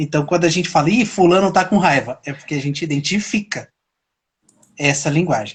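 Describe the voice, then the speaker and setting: With a quiet background behind him, a man speaks at a high pitch with ordinary pitch variation. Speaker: self-knowledge talk show host. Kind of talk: casual interview chat on live stream. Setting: live stream. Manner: gets loud and higher when excited.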